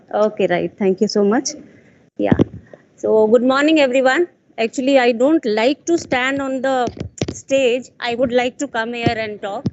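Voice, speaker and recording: At a moderate pace and with long, frequent pauses, a woman speaks in a high voice with ordinary pitch variation. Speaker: conference speaker. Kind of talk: conference talk. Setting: stage with audience. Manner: loud.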